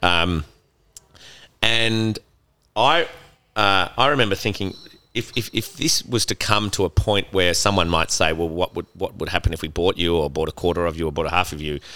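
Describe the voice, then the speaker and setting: Pitched very deep and low yet bright and sharp in tone, a man speaks in an Australian accent at a moderate pace with ordinary pitch variation. He leaves long, frequent pauses, and the recording is very clean with a silent background. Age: 50s. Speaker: gin distillery co-founder. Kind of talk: casual interview. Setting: in a bar.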